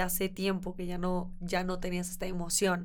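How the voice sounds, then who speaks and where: A woman's voice with audible room echo. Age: 20s. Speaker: sustainable fashion entrepreneur. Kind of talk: interview.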